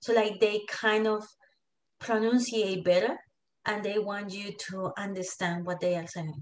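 A woman at a medium pitch and moderate pace, with fairly even intonation, big swings in loudness and long, frequent pauses against a quiet background. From Colombia. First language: Spanish. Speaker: digital marketing entrepreneur; interview guest. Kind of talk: casual interview. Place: home room. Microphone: video call.

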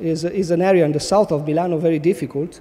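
This man talks with a high pitch and ordinary pitch variation. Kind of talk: conference talk. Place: stage. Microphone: podium.

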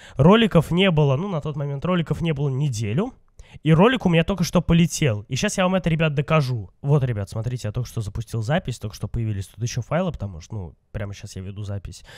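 On a very clean recording with a silent background, a man talks very fast in a fairly high, somewhat breathy voice with very wide pitch swings. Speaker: gaming youtuber. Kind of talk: let's play commentary. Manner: casual, chatty.

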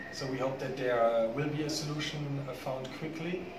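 A man speaks fairly quickly, with noticeable background noise in the recording. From Germany. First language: German. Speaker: business chamber executive. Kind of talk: interview. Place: hall.

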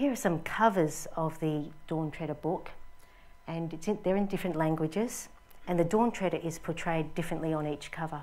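A woman with an Australian accent talks at a moderate pace. Her fairly low voice shows ordinary pitch variation. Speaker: film art department designer. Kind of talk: lecture. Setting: stage with audience. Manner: formal. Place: hall.

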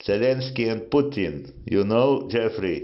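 In a quiet setting, a man talks at a very slow pace. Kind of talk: casual argument chat. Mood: angry, insulting. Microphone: two way radio.

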